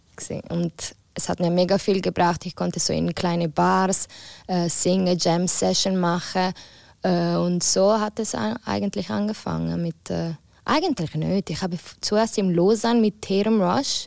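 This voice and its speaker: In a very clean recording with a silent background, a woman with an Italian accent speaks at a fairly slow pace. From Ticino, Switzerland. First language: Italian (speaking German). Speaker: singer. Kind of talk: casual chat.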